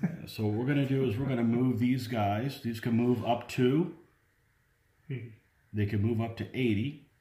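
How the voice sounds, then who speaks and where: A somewhat breathy, dark, mellow voice at a moderate pace, with fairly even intonation and audible room echo. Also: man. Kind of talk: casual game commentary. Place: home room. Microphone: camera far.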